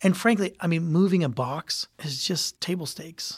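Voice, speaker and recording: A man with a Midwestern American accent, high-pitched for a man, at a moderate pace, with a dry, close sound with no echo and a very clean recording against a silent background. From Ohio, US (Youngstown). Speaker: hotel company president. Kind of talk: interview.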